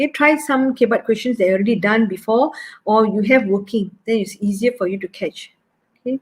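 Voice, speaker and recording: This woman speaks at a fairly quick pace in a Malaysian accent. Her voice is somewhat breathy and fairly high, with ordinary pitch variation. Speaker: maths teacher. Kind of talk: online exam workshop lecture. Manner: fast.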